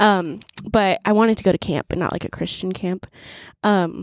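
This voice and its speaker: A woman speaks in a normal speaking voice at medium pitch, moving at a fairly quick pace. Her intonation stays fairly even, and the sound is dry and close with no echo. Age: 20s. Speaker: young mother. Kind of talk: casual chat.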